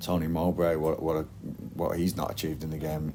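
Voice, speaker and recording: A man with a strong Lancashire accent speaks at a fairly quick pace in a very deep, low pitch, his intonation fairly even. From northern England, Blackburn. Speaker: football manager. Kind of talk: interview. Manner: hesitant, repetitive.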